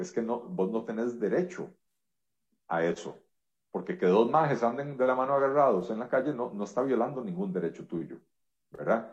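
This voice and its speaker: Pausing long and often, a man talks at a moderate pace with very wide pitch swings. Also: medium pitch for a man. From Costa Rica. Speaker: economist and politician. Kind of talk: interview.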